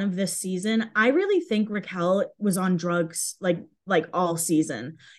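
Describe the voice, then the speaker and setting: Against a quiet background, a woman with an unremarkable speaking voice talks at a fairly slow pace, with ordinary pitch variation. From Massachusetts, US. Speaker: Instagram fan page creator. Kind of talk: casual interview.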